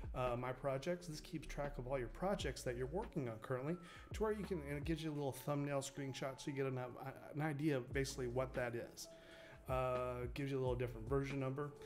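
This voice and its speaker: Over music in the background and audible room echo, a man talks at a fairly quick pace. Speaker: game developer streamer. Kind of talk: tutorial. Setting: live stream. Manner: halting.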